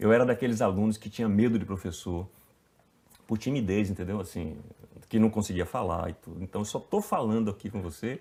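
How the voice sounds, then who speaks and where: This man speaks at a fairly quick pace with a northeastern Brazilian accent, his pitch fairly low. His tone is dark and mellow, and the recording is very clean with a silent background. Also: ordinary pitch variation. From Bahia, Brazil (Itabuna). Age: 50s. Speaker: actor. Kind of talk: casual interview.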